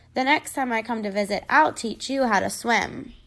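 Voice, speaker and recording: A woman uses a raspy, put-on character voice at a fairly high pitch and a moderate pace. The recording is very clean, with a silent background. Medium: read story.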